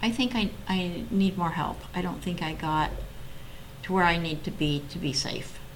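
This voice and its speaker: A woman with an American accent talks at a moderate pace and fairly low pitch with ordinary pitch variation, amid audible room echo and noticeable background noise. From US Pacific Northwest (Oregon). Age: 60s. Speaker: mental health advocate sharing personal story. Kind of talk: interview testimony.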